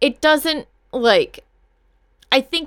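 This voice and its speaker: A woman's plain, everyday voice, fairly slow in pace, with lively intonation. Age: 30s. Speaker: podcast co-host. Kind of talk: casual chat.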